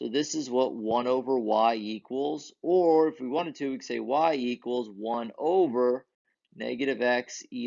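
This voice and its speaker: A man talks fairly slowly in a plain, everyday voice, medium in pitch with ordinary pitch variation. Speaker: math teacher. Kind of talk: lecture.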